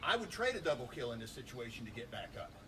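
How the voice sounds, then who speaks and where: Talking at a fairly quick pace with lively intonation, a man is heard amid audible room echo. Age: 50s. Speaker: martial arts instructor. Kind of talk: tutorial. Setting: outdoors.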